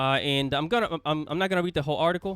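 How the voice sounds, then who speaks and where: A man speaks very fast with a Spanish accent. Music plays in the background. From Latin America. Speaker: YouTuber. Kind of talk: commentary video. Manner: casual, repetitive.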